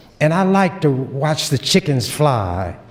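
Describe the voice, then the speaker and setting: Noticeable noise sits in the background. The speaker's intonation is lively. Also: man. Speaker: state legislator. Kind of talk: legislative floor speech. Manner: forceful, confrontational.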